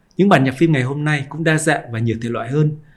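Very fast and somewhat breathy, a man talks at a fairly high pitch with lively intonation. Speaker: podcast host and journalist. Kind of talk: scripted narration.

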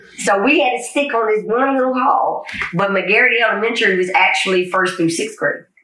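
A woman with a fairly high pitch and an American accent talks at a fairly quick pace with ordinary pitch variation and very even loudness, amid audible room echo and noticeable background noise. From Georgia, US (Paulding County, metro Atlanta). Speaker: army veteran. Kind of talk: casual chat.

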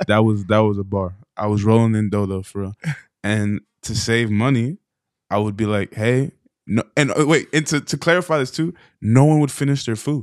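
This man has an unremarkable speaking voice, medium in pitch, with ordinary pitch variation and a moderate pace. The sound is dry and close, with no echo. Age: 20s. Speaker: podcast co-host and editor. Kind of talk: testimony.

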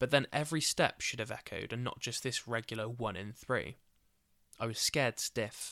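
A man's bright, sharp voice comes at a moderate pace with fairly even intonation, recorded very cleanly against a silent background with a dry, close sound and no echo. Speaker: podcast host. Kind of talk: scripted true-crime style narration with casual chatty intro. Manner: casual, chatty, jokey in intro.

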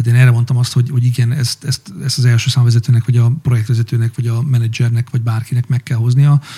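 A very fast, monotone male voice at medium pitch, flat in intonation, with hardly any pauses and a dry, close sound with no echo. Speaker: podcast host, business manager. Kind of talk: casual interview chat.

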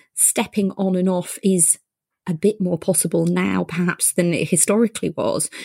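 On a very clean recording with a silent background and a dry, close sound with no echo, a woman uses a normal speaking voice at a medium pitch and a moderate pace. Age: 40s. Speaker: podcast host and GP. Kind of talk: interview chat.

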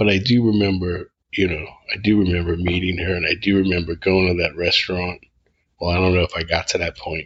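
A man is speaking. His pace is moderate. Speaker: podcast host and author. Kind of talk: casual chat, podcast intro and outro. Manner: casual, rambling, halting with fillers.

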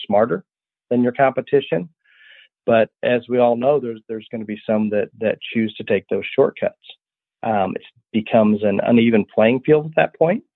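A man's normal speaking voice with an American accent, medium pitch, moderate pace and ordinary pitch variation. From US Midwest, rural Illinois. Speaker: livestock breeder. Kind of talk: interview.

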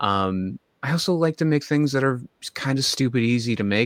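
With lively intonation, a man of medium pitch talks at a fairly quick pace in a dry, close sound with no echo. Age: 30s. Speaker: social media cooking creator. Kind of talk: casual chat. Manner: halting.

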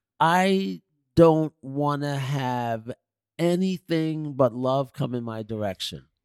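In a New York accent, a man with a fairly high voice speaks at a very slow pace with lively intonation, the sound dry and close with no echo. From New York City, Queens. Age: 60s. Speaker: visual artist and designer. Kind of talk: interview conversation.

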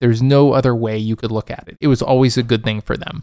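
A man's ordinary speaking voice at medium pitch, fairly quick, with ordinary pitch variation and a dry, close sound with no echo. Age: 30s. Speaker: podcast host, entrepreneur. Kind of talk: solo monologue podcast. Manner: casual, with frequent fillers.

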